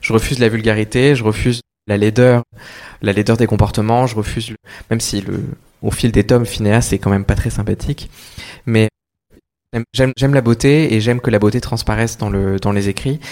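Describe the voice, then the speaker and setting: At a moderate pace, a man speaks at a medium pitch with long, frequent pauses. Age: 30s. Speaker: children's author. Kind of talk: public talk at bookshop event. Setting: bookshop event with audience.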